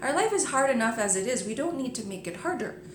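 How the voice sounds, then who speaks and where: A woman with an American accent talks while background noise is clearly audible. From New Jersey. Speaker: yoga teacher. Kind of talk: casual video blog talk to camera.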